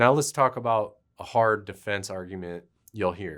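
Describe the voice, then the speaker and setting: On a very clean recording with a silent background, a man speaks at a fairly slow pace. He has an unremarkable speaking voice with a fairly low pitch. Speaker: attorney. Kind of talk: legal explainer talk to camera.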